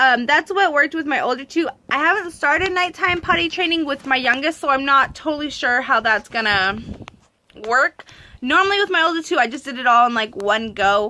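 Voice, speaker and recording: In a raised, projected voice, a woman speaks at a fairly quick pace with a high pitch, a bright, sharp, animated tone, and lively intonation. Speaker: parenting vlogger, mother of three. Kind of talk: casual vlog talk to camera. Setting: handheld camera at home in the countryside. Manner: fast; animated, many fillers.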